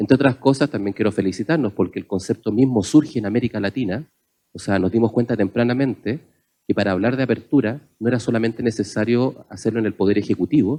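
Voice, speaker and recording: In a Chilean accent, a man talks at a very fast pace with a medium pitch, a dark, mellow tone and ordinary pitch variation, the sound dry and close with no echo. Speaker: panelist on open government. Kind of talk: panel discussion talk.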